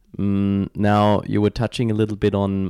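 With a German accent, a man speaks at a moderate pace in a fairly low, dark, mellow tone and flat, monotone intonation, the sound dry and close with no echo on a very clean recording against a silent background. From Germany. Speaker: podcast host. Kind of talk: casual interview. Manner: halting, with many fillers.

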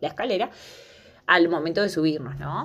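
A woman with a Uruguayan accent at a fairly quick pace. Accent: Uruguayan Rioplatense Spanish. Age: 30s. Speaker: podcast host on workplace safety. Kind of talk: informal educational monologue.

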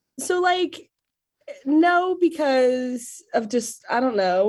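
A woman with a Midwestern US accent and lively, bouncing intonation. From western Nebraska. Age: 20s. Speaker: poet and grad student. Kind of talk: casual interview chat.

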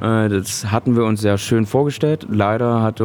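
Over noticeable background noise, a man speaks with a fairly low pitch and fairly even intonation. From Saxony-Anhalt, Germany (Köthen). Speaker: student. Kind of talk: interview. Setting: brewery pub. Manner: halting, many fillers.

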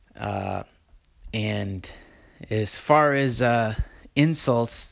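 This speaker has a relaxed tone and an American accent. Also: man, very clean recording, silent background. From Oregon coast, US. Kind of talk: casual monologue and interview. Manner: relaxed, casual.

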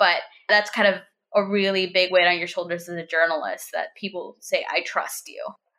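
A woman with an American accent speaks at a moderate pace. Her loudness swings widely. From Texas. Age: 20s. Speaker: journalist and associate producer. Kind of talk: interview.

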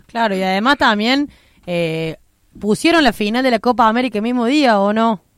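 A woman speaks at a moderate pace with lively intonation. She has a plain, everyday voice. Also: fairly high pitch for a woman. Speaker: radio host. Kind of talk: casual chat. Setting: studio.

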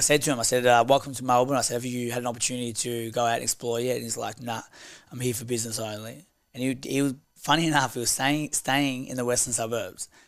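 A man with an Australian accent talks very fast at a medium pitch, his intonation monotone and flat. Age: 20s. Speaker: professional boxer and gym owner. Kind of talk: casual chat.

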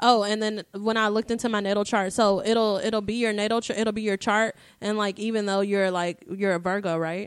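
Here a woman talks at a fairly quick pace with hardly any pauses and monotone, flat intonation. The recording is very clean, and the background is silent. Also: medium pitch for a woman. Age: 20s. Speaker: podcast co-host. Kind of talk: casual chat.

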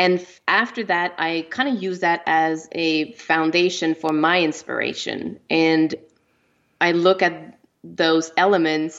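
A woman with a Quebec accent speaks at a very slow pace in a fairly low pitch, her intonation fairly even. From French Canada. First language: French. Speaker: romance author. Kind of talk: interview. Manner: hesitant, many fillers.

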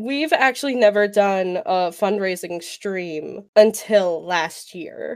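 The delivery is very slow, with lively intonation. Loudness swings widely. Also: woman, medium pitch for a woman. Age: 20s. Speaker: streamer. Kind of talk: casual interview chat.

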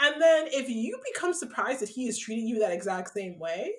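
In a high pitch with an animated tone, a woman swings her pitch very widely while keeping a moderate pace. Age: 30s. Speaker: podcast co-host. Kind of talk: casual chat.

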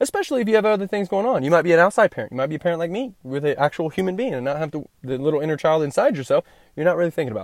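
A man's high-pitched voice at a very fast pace, hardly any pauses, lively intonation, dry close sound with no echo. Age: 20s. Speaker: sports podcast host. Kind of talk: casual solo podcast monologue.

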